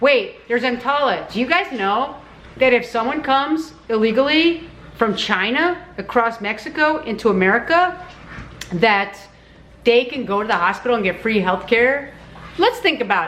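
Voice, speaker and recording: A woman's high voice with lively intonation at a moderate pace, with noticeable background noise. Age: old. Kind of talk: casual talk to camera. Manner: blunt, ranting.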